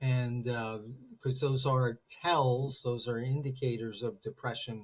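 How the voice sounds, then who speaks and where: A man talks at a very slow pace, somewhat breathy. His pitch is medium and his intonation fairly even. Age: 60s. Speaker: therapist. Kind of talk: interview conversation.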